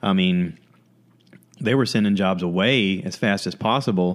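A man with an American accent has a plain, everyday voice. His pitch is fairly low, with fairly even intonation. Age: 40s. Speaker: podcast host. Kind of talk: casual chat.

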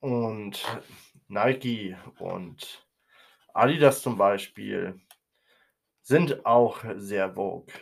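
At a very slow pace, a man speaks with long, frequent pauses and big swings in loudness. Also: medium pitch for a man, ordinary pitch variation. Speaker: podcast host. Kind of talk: opinion monologue. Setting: home recording room, nearly emptied while moving.

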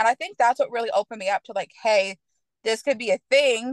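Here is a woman with an American accent and a normal speaking voice, pitched fairly high. She talks at a fairly quick pace, and the sound is dry and close with no echo. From Michigan. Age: 20s. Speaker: podcast guest discussing swinger lifestyle. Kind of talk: casual interview.

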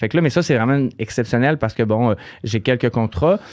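A man with a Quebec accent at a fairly quick pace, in a very clean recording with a silent background. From Quebec, Saguenay region. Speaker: hairdresser and salon owner. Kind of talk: casual interview.

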